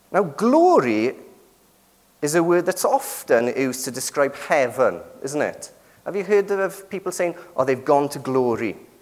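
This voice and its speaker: A man with a British accent speaks at a moderate pace, his high pitch carrying lively intonation. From Britain. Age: 30s. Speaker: preacher. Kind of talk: sermon.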